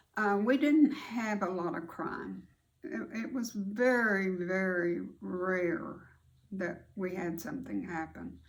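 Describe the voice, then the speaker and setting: A woman with an American accent speaks at a very slow pace, and audible room echo surrounds her voice. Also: medium pitch for a woman, lively intonation. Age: 80s+. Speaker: grandmother storyteller, video host. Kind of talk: casual storytelling to camera.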